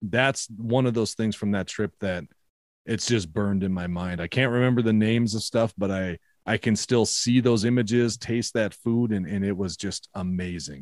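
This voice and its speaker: In a Minnesotan accent, a man speaks at a moderate pace and fairly low pitch with ordinary pitch variation, recorded very cleanly against a silent background with a dry, close sound and no echo. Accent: Minnesota. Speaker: podcaster. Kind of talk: casual chat.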